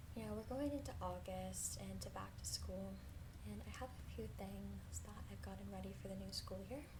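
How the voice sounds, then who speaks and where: Soft-spoken and very deep in pitch, a woman speaks at a moderate pace with lively intonation over noticeable background noise. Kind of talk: ASMR haul video talking to viewers.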